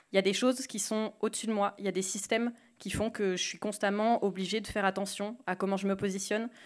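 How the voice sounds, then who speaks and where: The background is quiet. A woman talks very fast in a monotone, flat intonation. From rural France. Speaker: podcast creator; speaker. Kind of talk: panel talk. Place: hall. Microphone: handheld.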